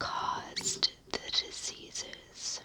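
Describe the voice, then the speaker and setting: Whispering at a very slow pace in an American accent, the voice comes through noticeable background noise. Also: woman. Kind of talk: ASMR sleep history narration. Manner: whispered.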